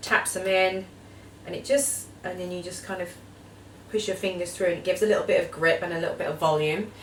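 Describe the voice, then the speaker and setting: In an Essex accent, a woman talks at a very fast pace and medium pitch with fairly even intonation, big swings in loudness and audible room echo. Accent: Essex twang. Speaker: beauty vlogger. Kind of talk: tutorial.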